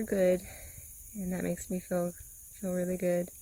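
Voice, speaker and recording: A woman's somewhat breathy, fairly low voice moves at a moderate pace. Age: 40s. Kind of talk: casual talk to camera. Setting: outdoors.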